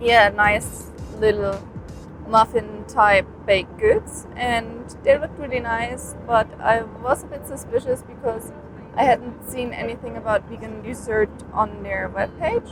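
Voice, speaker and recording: A woman talks at a fairly slow pace, her loudness swinging widely. Noticeable background noise is present. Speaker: travel vlogger. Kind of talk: vlog narration. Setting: airport and airplane. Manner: sluggish, drowsy.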